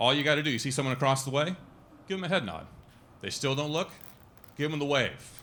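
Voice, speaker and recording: A man with a fairly high pitch talks at a very fast pace in a bright, sharp tone, leaving long, frequent pauses. Audible room echo surrounds his voice. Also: ordinary pitch variation. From Italy, moved to US young. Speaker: stand-up comedian. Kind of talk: stand-up. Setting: stage with audience.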